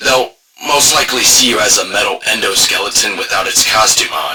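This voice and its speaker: Using a put-on character voice, a man speaks at a moderate pace with a raspy sound. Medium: solo performance. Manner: hesitant, filler-heavy, stammering.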